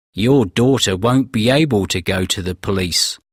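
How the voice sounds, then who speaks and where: Growling in a put-on character voice, a man speaks at a moderate pace with a fairly low pitch and a dry, close sound with no echo. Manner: very unfriendly, cold.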